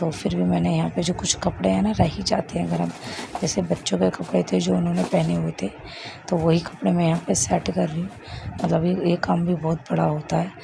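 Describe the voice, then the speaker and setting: A woman's moderately paced speech sits over noticeable background noise. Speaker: vlogger, homemaker. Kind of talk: vlog voiceover narration.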